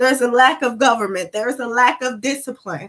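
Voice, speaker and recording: A woman speaks at a moderate pace in an animated tone, her raised, projected voice bright and sharp. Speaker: spiritual talk livestreamer. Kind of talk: livestream talk. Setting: live stream. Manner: loud.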